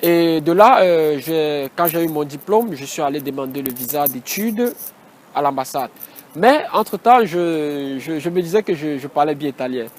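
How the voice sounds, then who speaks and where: Over noticeable background noise, a man speaks at a fairly slow pace, with a fairly high pitch and ordinary pitch variation. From Cameroon. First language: Batoufam (speaking French). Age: 20s. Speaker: engineering student. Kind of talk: interview. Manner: halting.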